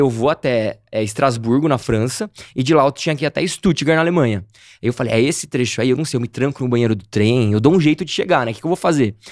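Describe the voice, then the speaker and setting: Delivered at a very fast pace with lively intonation, the speech has a dry sound with no echo and a quiet background. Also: man. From Campinas, São Paulo state, Brazil; São Paulo, Brazil. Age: 30s. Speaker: travel youtuber. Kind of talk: casual interview chat. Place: studio. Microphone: studio mic.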